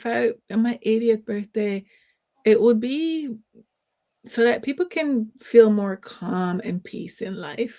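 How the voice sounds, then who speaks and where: Her voice fairly high yet dark and mellow, a woman speaks at a very slow pace with big swings in loudness and ordinary pitch variation. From Jamaica. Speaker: sociologist and wellness educator. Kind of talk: casual interview.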